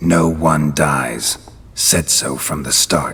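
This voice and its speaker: A man does a put-on character voice, growling in a very deep, low pitch with a deadpan tone. He speaks at a very slow pace over light background noise. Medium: video game. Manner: terse, deadpan.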